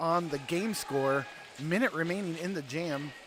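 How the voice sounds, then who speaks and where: Against noticeable background noise, the words come out fairly slowly. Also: man. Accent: American. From US South. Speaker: roller derby announcer. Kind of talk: live commentary. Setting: ice arena.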